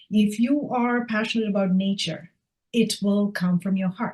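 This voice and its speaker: A woman's voice, medium in pitch and somewhat breathy, rises and falls with ordinary variation. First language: not English. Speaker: author. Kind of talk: casual chat.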